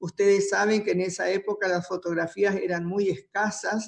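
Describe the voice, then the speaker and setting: In flat, monotone intonation, a woman with a medium pitch talks at a moderate pace. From Formosa, Argentina. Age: 70s. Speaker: writer and historian. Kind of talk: storytelling on a panel.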